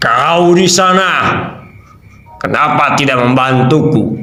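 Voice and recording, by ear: Using a put-on character voice with a fairly high pitch, a man speaks at a fairly slow pace with slight echo.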